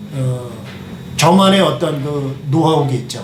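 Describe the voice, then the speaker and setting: A man speaks at a fairly slow pace with ordinary pitch variation. Audible room echo and noticeable background noise are present. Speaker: kitchenware manufacturer. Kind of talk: product demonstration. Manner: hesitant, many fillers.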